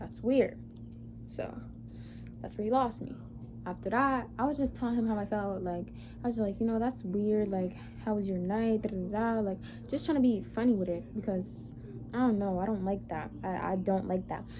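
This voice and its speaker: Amid audible room echo, a woman speaks with long, frequent pauses. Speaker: vlogger. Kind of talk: storytime vlog. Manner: fast; animated.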